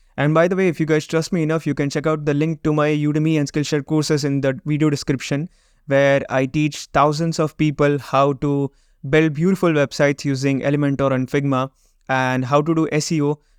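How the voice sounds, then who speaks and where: Fairly high male voice with a Gujarati accent, fairly quick and monotone, with very even loudness, in a dry, close recording with no echo and a quiet background. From Gujarat, India. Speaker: web design and SEO agency owner, YouTuber. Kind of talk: vlog intro monologue, mixed Hindi and English.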